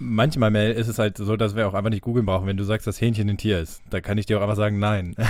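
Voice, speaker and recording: A man at a very fast pace with hardly any pauses, fairly low in pitch, with fairly even intonation. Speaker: podcast host. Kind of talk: casual chat.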